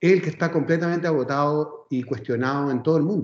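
This man's voice sits fairly high. He speaks at a fairly quick clip. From Chile, Viña del Mar. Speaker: education specialist. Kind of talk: interview.

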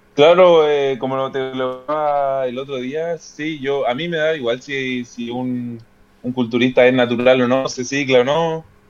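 Music plays behind a man speaking at a medium pitch. He talks fairly slowly, with fairly even intonation. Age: 20s. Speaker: fitness content creator and law graduate. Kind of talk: casual interview chat. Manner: halting, many repetitions and fillers.

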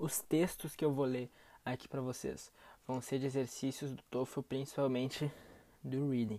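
At a moderate pace with long, frequent pauses, the speech is heard on a very clean recording with a silent background. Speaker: English test prep podcaster. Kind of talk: tutorial.

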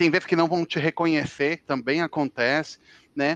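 In a dry, close recording with no echo, a man with a high pitch speaks at a moderate pace with ordinary pitch variation. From Brazil, Brasília. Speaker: international relations analyst and author. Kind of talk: casual interview.

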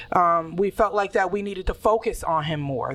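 A woman with a plain, everyday voice speaks at a medium pitch with ordinary pitch variation. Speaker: podcast co-host. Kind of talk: casual chat.

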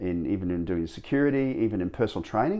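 His pitch swings very widely. The speaker is a man with an Australian accent. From Australia, Gold Coast, Queensland. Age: 50s. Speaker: animal trainer and former dancer. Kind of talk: interview.

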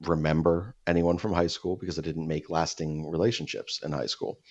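A man with an American accent speaks at a very deep, low pitch. His pace is moderate and his intonation fairly even. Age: 30s. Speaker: podcast co-host. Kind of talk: casual chat. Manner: halting.

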